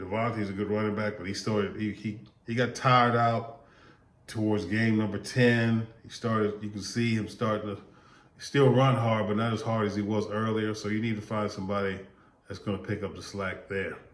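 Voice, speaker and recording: At a moderate pace, a man speaks in a fairly low voice amid audible room echo. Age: 60s. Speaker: sports vlogger. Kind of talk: casual commentary monologue. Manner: repetitive, stammering restarts; animated.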